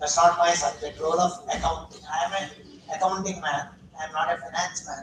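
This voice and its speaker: A man with a high voice talks at a moderate pace. Noticeable background noise is present. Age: 70s. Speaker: academic session chairperson. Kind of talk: seminar talk.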